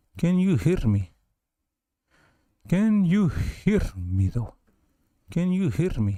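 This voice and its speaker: A man uses a put-on character voice pitched high. He talks at a very slow pace with long, frequent pauses. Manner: playful, theatrical.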